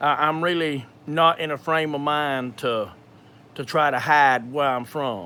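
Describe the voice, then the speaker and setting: A man with a strong Georgia accent and a fairly high pitch speaks at a fairly slow pace, his tone bright and sharp and his intonation fairly even. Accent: thick Georgia. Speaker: video creator sharing personal medical experience. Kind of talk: live Q&A with personal testimony. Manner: halting, many fillers and repetitions.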